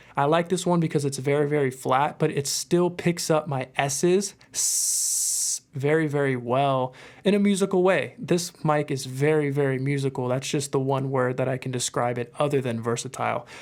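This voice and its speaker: A man at a moderate pace with ordinary pitch variation and hardly any pauses. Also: very clean recording, silent background. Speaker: musician and mic reviewer. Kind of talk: product review. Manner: casual, filler-heavy. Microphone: close to mic, strong proximity effect.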